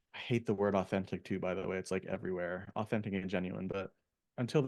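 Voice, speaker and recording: Against a quiet background, a man with an American accent talks very fast at a fairly low pitch, his intonation fairly even. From Philadelphia, US. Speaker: therapist. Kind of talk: casual interview. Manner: halting, many fillers.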